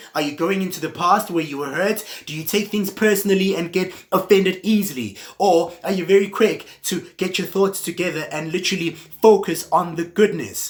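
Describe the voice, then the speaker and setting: The speech moves at a moderate pace with hardly any pauses. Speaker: motivational speaker. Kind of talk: motivational talk.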